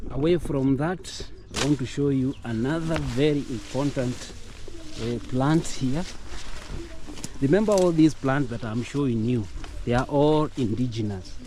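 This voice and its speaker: A man with a medium pitch and ordinary pitch variation talks at a fairly slow pace. He leaves long, frequent pauses, and there is noticeable background noise. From Kenya. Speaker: vlogger. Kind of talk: casual vlog tour. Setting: outdoors in village. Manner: halting, with fillers.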